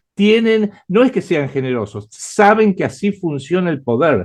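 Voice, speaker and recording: A man speaks with an Argentine accent at a fairly slow pace. His pitch swings very widely. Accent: Argentine Spanish (Rioplatense). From Argentina. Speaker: writer and geopolitical analyst. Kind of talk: interview. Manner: hesitant with frequent fillers.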